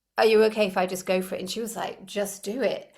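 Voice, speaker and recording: A woman's normal speaking voice, medium in pitch, at a fairly quick pace. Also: very clean recording, silent background. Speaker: energy healer, former opera singer. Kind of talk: interview answer.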